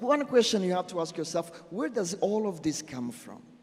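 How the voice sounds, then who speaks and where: Noticeable background noise behind a high-pitched male voice. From Burundi. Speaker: social entrepreneur speaker. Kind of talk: conference talk. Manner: halting.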